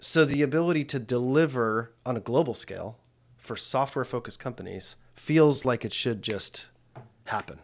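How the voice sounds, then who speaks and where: With an American accent and a normal speaking voice, a man talks at a moderate pace in a medium pitch with ordinary pitch variation, in a very clean recording with a silent background. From United States. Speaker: podcast host. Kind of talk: interview conversation. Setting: in person in an office.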